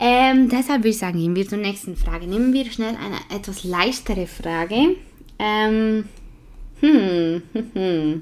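A woman's lively intonation comes through on a very clean recording with a silent background. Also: fairly slow pace. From Switzerland. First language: Swiss German (speaking German). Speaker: podcast host. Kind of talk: casual chat.

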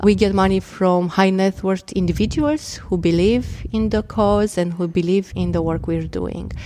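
Speaking in a Romanian accent with hardly any pauses, a woman uses a medium pitch and ordinary pitch variation. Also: moderate pace. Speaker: impact investment director. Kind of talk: interview.

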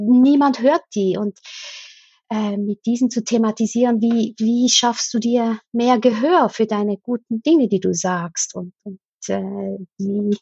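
In a Swiss German accent, a woman speaks at a very slow pace. Her voice is fairly high, somewhat breathy, with ordinary pitch variation. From Switzerland. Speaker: escape game company owner and teacher trainer. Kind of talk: interview.

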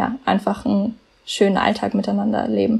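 A somewhat breathy woman at a fairly slow pace. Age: 20s. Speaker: podcast team member, volunteer. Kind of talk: casual chat. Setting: remote recording from home office.

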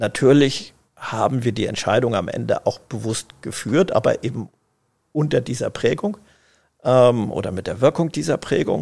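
In a very clean recording with a silent background, a man uses a normal speaking voice at medium pitch, talking at a moderate pace with lively intonation. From northern Germany, Schleswig-Holstein (Eckernförde). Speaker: family business managing director. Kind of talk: interview. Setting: tower room at company office.

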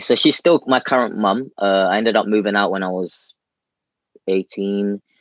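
With a London accent, a man talks at a moderate pace and fairly low pitch. The sound is dry and close, with no echo. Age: 20s. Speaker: calisthenics athlete and coach. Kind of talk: casual chat. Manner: animated.

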